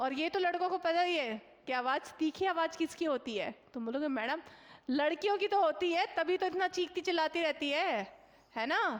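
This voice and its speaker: Shouting loudly, a woman speaks at an extremely high pitch with lively intonation. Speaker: online exam coaching teacher. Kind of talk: live online class solving mock test questions. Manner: loud, shouting for a long time; conversational, many fillers and checks.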